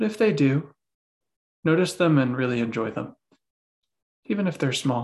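Long, frequent pauses from a man with a gentle, soothing tone, a fairly high pitch and very wide pitch swings. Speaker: meditation teacher. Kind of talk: guided meditation. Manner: slow, soothing, calm; gentle, unhurried, with long pauses.

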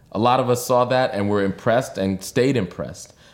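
An unremarkable speaking voice, this man moves at a fairly quick pace with lively intonation on a very clean recording with a silent background. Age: 40s. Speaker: political organizer. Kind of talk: interview.

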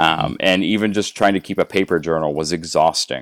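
An unremarkable speaking voice moves at a fairly quick pace in a very clean recording with a silent background. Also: man. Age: 40s. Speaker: weight loss guest. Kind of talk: interview.

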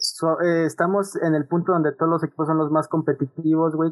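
Music plays in the background as a man speaks at a fairly quick pace. His pitch is fairly high and his intonation is flat and monotone. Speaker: media student. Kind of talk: casual chat.

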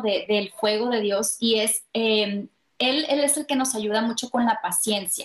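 At a fairly slow pace, a plain, everyday voice speaks with ordinary pitch variation. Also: woman. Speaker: life coach and spiritual author. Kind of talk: interview testimony.

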